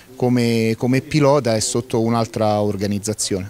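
A man with a medium-pitched voice speaks with fairly even intonation, the sound dry with no echo and light background noise. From Lazio, Frosinone area. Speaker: rally event organizer. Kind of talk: on-site interview. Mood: calm, somewhat resigned. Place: garden. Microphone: handheld.

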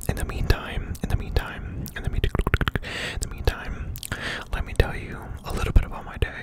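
Whispering in an intense tone at a moderate pace, a man's loudness swings widely over noticeable background noise. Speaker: ASMR creator. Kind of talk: ASMR talk to camera with mouth sounds. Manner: whispered, intense.

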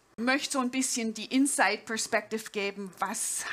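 A woman speaks with a slight Swabian accent. Her pitch variation is ordinary. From Swabia, southern Germany. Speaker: jazz pianist and professor; speaker. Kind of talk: conference talk. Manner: informal, with hesitations. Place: stage. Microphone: headset.

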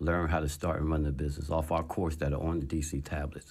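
Against a quiet background, a man with an American accent talks at a fairly quick pace. His pitch is very deep and low. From New Jersey, Trenton. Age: 50s. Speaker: entrepreneur and author. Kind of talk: interview. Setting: studio. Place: studio. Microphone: studio mic.

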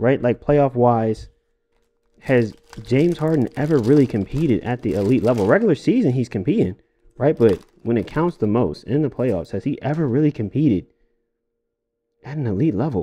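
Speaking at a moderate pace, a man uses lively intonation and leaves long, frequent pauses. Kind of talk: casual commentary.

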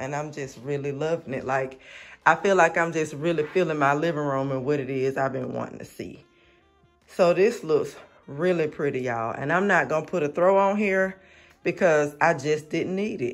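A man talks at a moderate pace with ordinary pitch variation. Faint music plays in the background. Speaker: home decor vlogger. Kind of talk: casual vlog chat. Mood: pleased, enthusiastic. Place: home room. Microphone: phone near.

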